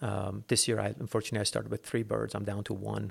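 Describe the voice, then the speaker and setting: Someone with an American accent talks at a fairly quick pace on a very clean recording with a silent background. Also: man. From Los Angeles, US. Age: 40s. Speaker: falconer and bird breeder. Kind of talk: casual interview.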